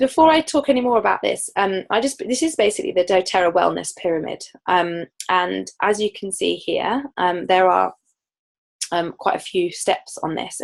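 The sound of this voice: A hoarse, put-on character voice at a moderate pace. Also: woman, medium pitch for a woman.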